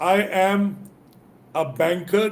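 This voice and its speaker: A man speaks with an Indian accent at a high pitch. His intonation is fairly even. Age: 60s. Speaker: business and leadership coach. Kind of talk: motivational talk in live interview.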